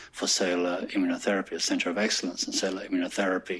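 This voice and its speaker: This man's voice is very deep and low in pitch. His intonation stays monotone and flat. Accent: slight English. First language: French. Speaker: hospital executive. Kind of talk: staff presentation; casual chat. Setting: staff forum with audience.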